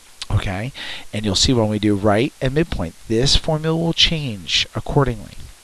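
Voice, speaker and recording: Moderate pace over noticeable background noise. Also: man. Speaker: math teacher. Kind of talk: tutorial.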